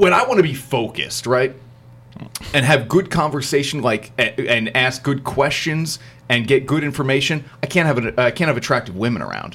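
Using a normal speaking voice with an American accent, this man keeps a moderate pace and medium pitch, and his pitch varies in an ordinary way. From New Jersey. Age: 30s. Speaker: podcast host. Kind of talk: casual chat.

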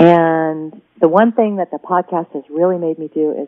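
Speaking with an American accent, a woman with a very deep, low pitch keeps fairly even intonation at a moderate pace. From US West Coast, Oregon. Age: 40s. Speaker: writer and knitting podcaster. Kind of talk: interview conversation. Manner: polished broadcaster delivery.

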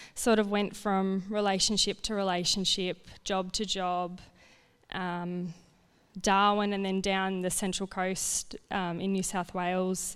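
In a very clean recording with a silent background, a woman speaks at a fairly slow pace. Her medium-pitched voice stays monotone and flat. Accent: Australian. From rural Victoria, Australia. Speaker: family violence counsellor. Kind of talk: testimony.

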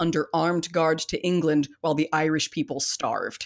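Speaking in a Californian accent with an animated tone, a woman with a fairly low pitch keeps a moderate pace, the sound dry and close with no echo on a very clean recording over a silent background. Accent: Californian American. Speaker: podcast host. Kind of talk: casual chat. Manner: animated, jokey.

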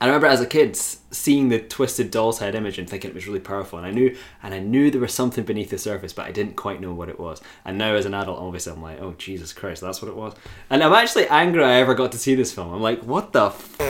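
A man talks at a very fast pace with lively intonation and big swings in loudness. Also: medium pitch for a man. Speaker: podcast host. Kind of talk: casual banter, film discussion. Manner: joking, laughs a lot, profane.

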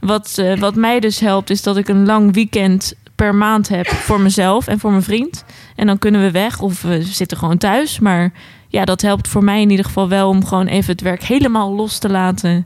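A woman at a moderate pace, an unremarkable speaking voice with fairly even intonation and very even loudness. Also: medium pitch for a woman. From Netherlands, Alphen aan den Rijn (South Holland). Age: 20s. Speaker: psychiatric nurse. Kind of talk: casual chat.

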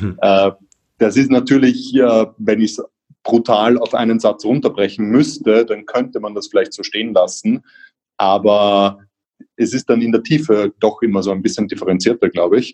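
The man talks at a moderate pace. The sound is dry and close, with no echo. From Austria, Vienna. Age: 30s. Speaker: social entrepreneur, company founder. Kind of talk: podcast interview.

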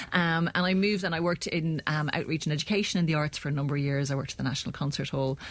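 With an Irish accent, a woman talks at a very fast pace with hardly any pauses, a very deep, low pitch, fairly even intonation and very even loudness. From Ireland. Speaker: arts project manager. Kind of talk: panel discussion.

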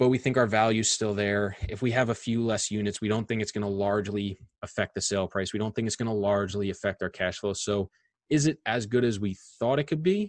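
Here a man with an American accent speaks at a very fast pace and a fairly low pitch. The sound is dry and close, with no echo. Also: fairly even intonation. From Long Island, New York. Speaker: real estate investor. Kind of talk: interview.

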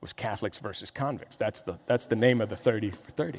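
Speaking with an American accent, a man uses an ordinary speaking voice with ordinary pitch variation. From Miami, Florida. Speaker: pastor. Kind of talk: sermon.

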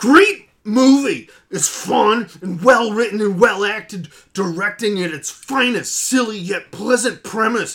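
Putting on a character voice, a man speaks at a high pitch and a fairly slow pace. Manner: angry, sarcastic despite positive words.

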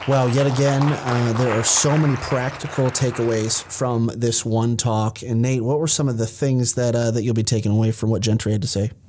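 A man with a medium pitch and fairly even intonation speaks at a moderate pace and very even loudness against noticeable background noise. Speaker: podcast host. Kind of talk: podcast intro and commentary.

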